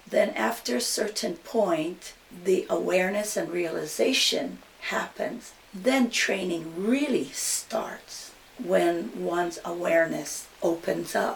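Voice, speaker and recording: A woman with a Hawaiian accent speaks at a very slow pace and medium pitch, her pitch swinging very widely. Noticeable background noise runs under her voice. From Hawaii, Maui. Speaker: hula teacher. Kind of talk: interview.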